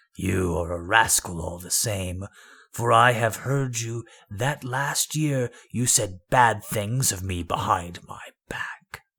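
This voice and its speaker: A man's put-on character voice, raspy and growling, fairly low in pitch and at a fairly slow pace. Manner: snarling, accusing.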